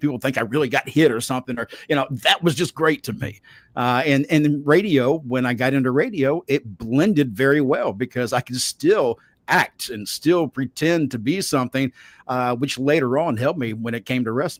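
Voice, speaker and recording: Recorded with a dry, close sound and no echo, a man speaks with a Southern US accent and ordinary pitch variation. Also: medium pitch for a man, fairly quick pace, very clean recording, silent background. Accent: Southern US (Georgia). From US South, Savannah, Georgia. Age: 60s. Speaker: wrestling podcast host and voice actor. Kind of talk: interview.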